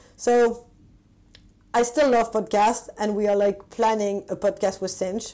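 In a French accent, a woman speaks fairly slowly at a fairly high pitch, her intonation fairly even and her tone dark and mellow. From France. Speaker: tech marketing executive. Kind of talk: interview. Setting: remote call.

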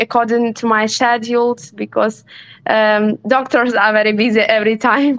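A woman speaks with a Ukrainian accent at a moderate pace. Her fairly high voice has monotone, flat intonation. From Western Ukraine, Ivano-Frankivsk. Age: 20s. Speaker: neurologist, war refugee. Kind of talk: interview testimony. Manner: halting.

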